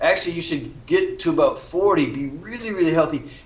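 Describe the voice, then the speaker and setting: A man's voice at a fairly quick pace, with ordinary pitch variation and audible room echo. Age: 60s. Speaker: functional nutrition practitioner. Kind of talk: interview.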